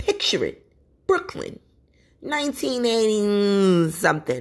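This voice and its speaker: Someone does a put-on character voice at a very slow pace with fairly high pitch. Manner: storytelling, reminiscing.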